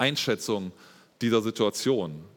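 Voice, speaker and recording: There is vocal fry in this man's voice as he speaks at a fairly slow pace. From Germany, Espelkamp (East Westphalia). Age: 30s. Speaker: lay preacher and teacher. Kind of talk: sermon. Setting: church service.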